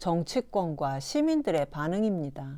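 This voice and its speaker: Very clean recording of a woman against a silent background. She speaks fairly slowly in a dark, mellow tone, with very wide pitch swings. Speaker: educational video presenter. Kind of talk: scripted narration. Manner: formal.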